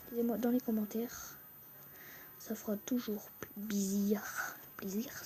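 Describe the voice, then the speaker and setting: Music plays behind the speaker. A woman whispers, going very slowly. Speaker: gaming YouTuber. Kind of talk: gameplay commentary. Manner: whispering; hesitant, many fillers.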